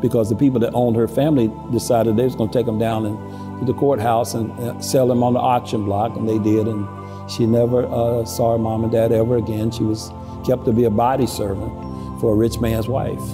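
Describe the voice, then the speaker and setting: Clear music plays in the background. A man speaks at a fairly quick pace with monotone, flat intonation. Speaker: museum executive director, local storyteller. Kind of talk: storytelling on camera, local history narration. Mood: solemn, reflective. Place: church.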